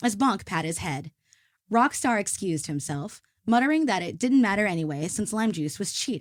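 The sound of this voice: With lively intonation, an unforced reading voice carries over a quiet background.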